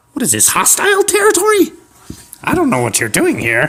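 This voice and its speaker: A man's put-on character voice at an extremely high pitch and a fairly quick pace. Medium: audio drama. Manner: indignant.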